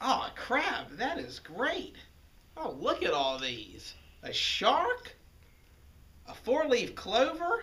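A man at a very slow pace, with long, frequent pauses. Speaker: golf shop staff presenting product. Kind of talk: mock infomercial pitch. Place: shop. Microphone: camera far.

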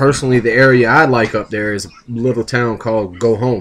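A man with an American accent talks at a fairly quick pace with a fairly bright tone. His pitch is medium, with ordinary variation. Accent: Southern US, Florida and Louisiana.

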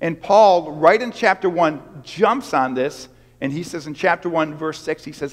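Against a quiet background, a man talks at a moderate pace in a high voice. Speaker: pastor. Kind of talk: sermon. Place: church.

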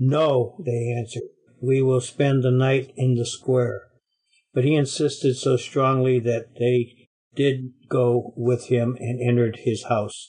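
Very slowly and in a flat monotone, a man speaks with a dark, mellow, somewhat breathy tone. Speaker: Bible study participant. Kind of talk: reading scripture aloud. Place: classroom. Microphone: webcam.

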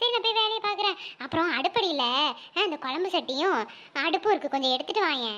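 Using a cartoonish character voice, a woman speaks at an extremely high pitch with very wide pitch swings, very even loudness and a fairly quick pace.

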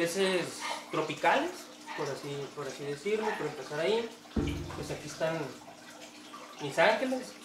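Through loud background noise, a man speaks at a moderate pace with long, frequent pauses. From northern Mexico (Tijuana, Baja California; born in Sonora). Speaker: aquarium hobbyist and cook. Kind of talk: casual interview. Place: home room. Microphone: camera far.

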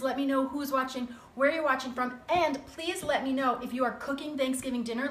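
Audible room echo surrounds a woman speaking at a high pitch and a fairly quick pace. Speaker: cooking show host. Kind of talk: live-stream cooking chat. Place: kitchen. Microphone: phone near.

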